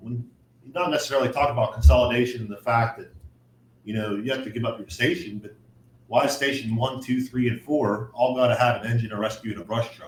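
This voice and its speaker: Very fast delivery with big swings in loudness. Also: man, medium pitch for a man, ordinary pitch variation. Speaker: firefighter. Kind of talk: casual chat.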